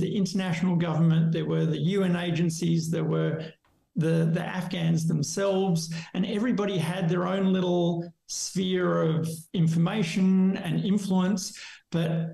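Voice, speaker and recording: A man speaks at a moderate pace with a high pitch and very even loudness. His intonation is flat and monotone, and the room echo is audible. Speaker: podcast guest. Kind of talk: interview answer. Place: home room. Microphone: webcam.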